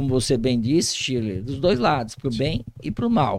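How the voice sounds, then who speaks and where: A man with an ordinary speaking voice at a medium pitch, lively intonation, a moderate pace, and a very clean recording with a silent background. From Brazil, Vale do Paraíba (São Paulo state). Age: 60s. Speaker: police chief. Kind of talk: interview.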